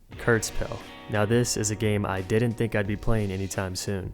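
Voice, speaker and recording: A man at a fairly low pitch and fairly quick pace, monotone and flat in intonation, with music in the background. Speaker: gaming video creator. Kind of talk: game review narration. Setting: temporary room while traveling. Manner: low, quiet voice.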